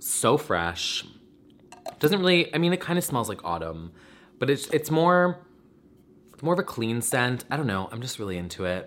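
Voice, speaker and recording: A medium-pitched man's voice with very wide pitch swings, a moderate pace and long, frequent pauses. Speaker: YouTube vlogger. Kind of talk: casual chat. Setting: video recording at home. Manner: casual, chatty.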